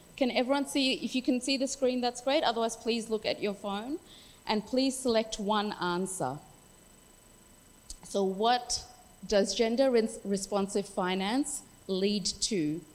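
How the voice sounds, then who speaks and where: At a fairly slow pace with long, frequent pauses, the speaker uses an Australian accent, ordinary pitch variation and an animated tone. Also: woman, fairly high pitch for a woman. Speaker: workshop facilitator. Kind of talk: workshop facilitation.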